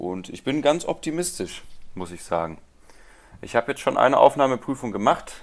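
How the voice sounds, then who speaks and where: With vocal fry and a medium pitch, a man talks at a moderate pace, his pitch swinging very widely and his loudness shifting a lot, with long, frequent pauses. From Rhineland, Germany. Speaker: guitarist and music teacher. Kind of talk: interview.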